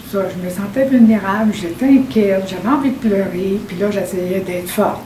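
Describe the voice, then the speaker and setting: A woman at medium pitch is heard with audible room echo and noticeable background noise. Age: 70s. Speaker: hearing-impaired senior client. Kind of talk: testimony. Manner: halting, many repetitions.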